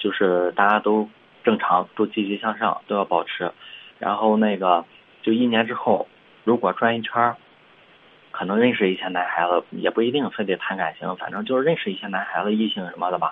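A man talks at a moderate pace. His fairly low pitch shows ordinary variation. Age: 20s. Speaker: caller to advice show. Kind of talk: phone-in advice call. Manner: halting, many fillers and repetitions.

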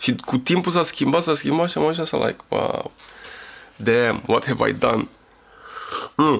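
A man speaks at a fairly slow pace, leaving long, frequent pauses, with very even loudness throughout. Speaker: rapper. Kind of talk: casual chat. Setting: studio.

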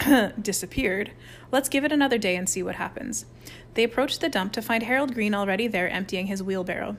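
Reading aloud, plain

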